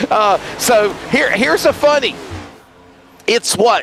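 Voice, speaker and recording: A man speaks with an American accent and ordinary pitch variation over noticeable background noise. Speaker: sim racing commentator. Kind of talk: live commentary. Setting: online broadcast booth.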